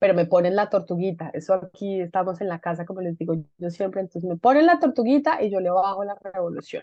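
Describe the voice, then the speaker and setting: A woman at medium pitch, very fast pace, hardly any pauses and ordinary pitch variation. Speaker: webinar host of a leadership institute. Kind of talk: online conversation, welcome remarks.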